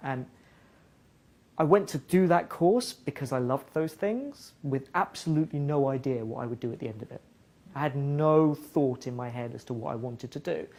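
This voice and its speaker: Fairly high in pitch with ordinary pitch variation, a man with an English accent talks at a moderate pace with big swings in loudness. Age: 30s. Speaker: music partnerships director at a tech company. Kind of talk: guest talk to students.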